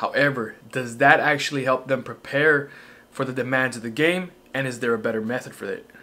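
In a bright, sharp tone, a man speaks with ordinary pitch variation. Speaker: fitness coach. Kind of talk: tutorial. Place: home room.

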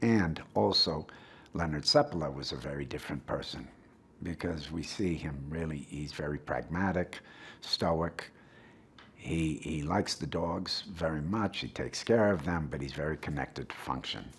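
Speaking with an American accent, a man uses a very deep, low pitch with vocal fry. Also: ordinary pitch variation, moderate pace. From Wisconsin, USA. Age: 60s. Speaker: actor. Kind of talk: press interview answer.

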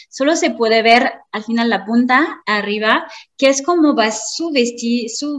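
In a high voice, a woman speaks at a fairly slow pace. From France. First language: French (speaking Spanish). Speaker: marketing consultant. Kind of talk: lecture.

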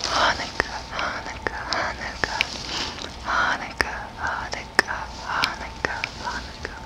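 At a fairly slow pace, a woman whispers her words. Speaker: vlogger. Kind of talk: casual vlog chat. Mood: playful, cheerful. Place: home room. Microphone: studio mic.

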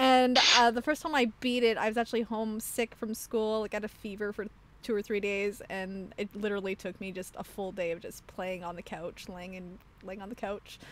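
A woman with a plain, everyday voice speaks at medium pitch with ordinary pitch variation and big swings in loudness. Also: fairly quick pace. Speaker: podcast host. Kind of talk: casual chat. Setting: video call.

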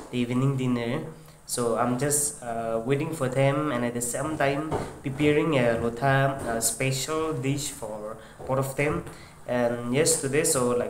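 A man speaking at a fairly slow pace with fairly even intonation, over light background noise and audible room echo. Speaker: home vlogger. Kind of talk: casual vlog chat. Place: kitchen. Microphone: lapel.

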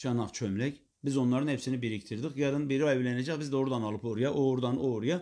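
A man's dark, mellow tone at a very fast pace, with ordinary pitch variation and a quiet background. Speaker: Islamic preacher teacher. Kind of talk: religious lecture. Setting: live stream. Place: home room.

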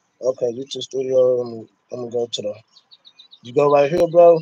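A man speaks at medium pitch in a dark, mellow tone. His pace is moderate. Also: ordinary pitch variation.

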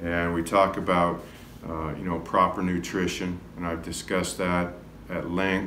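A man with a very deep, low voice speaks at a fairly slow pace in a monotone, flat delivery. Audible room echo and light background noise are present. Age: 50s. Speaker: health and wellness coach; wellness coach. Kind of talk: self-recorded video talk. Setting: classroom. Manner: casual with frequent fillers. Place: classroom. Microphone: phone near.

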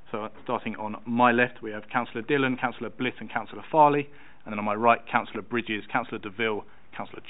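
Fairly even intonation carries the speech along at a very fast pace. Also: man. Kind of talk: formal meeting chairing. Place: meeting room. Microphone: podium.

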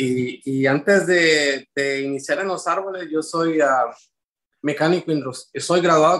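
At a moderate pace, a man speaks with a fairly high pitch, a fairly bright tone and ordinary pitch variation.

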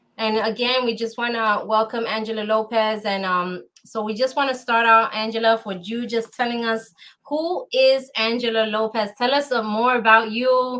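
A woman with an American accent, fairly high in pitch, bright and sharp in tone, at a moderate pace. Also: fairly even intonation. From New York. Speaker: talk show host. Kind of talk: interview. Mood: warm, welcoming. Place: home room.

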